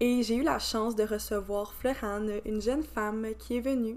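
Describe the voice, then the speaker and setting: Someone with a Quebec accent speaks at a fairly slow pace. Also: woman. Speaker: podcast host. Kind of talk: podcast intro; interview.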